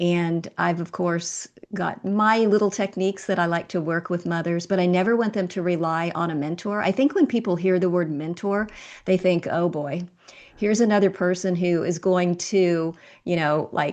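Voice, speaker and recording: Her pitch fairly low, this woman has an unremarkable speaking voice. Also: fairly even intonation, moderate pace. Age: 60s. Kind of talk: interview.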